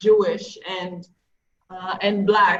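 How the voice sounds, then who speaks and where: A woman talks at a medium pitch. Her pace is very slow. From Israel (Kiryat Gat). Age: 30s. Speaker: social activist. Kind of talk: panel discussion.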